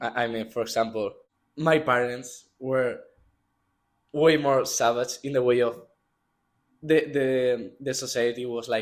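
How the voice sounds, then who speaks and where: On a very clean recording with a silent background, a man with a Spanish accent speaks at medium pitch and a fairly slow pace, with fairly even intonation and long, frequent pauses. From Spain, Madrid. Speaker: student athlete, water polo player. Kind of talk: interview.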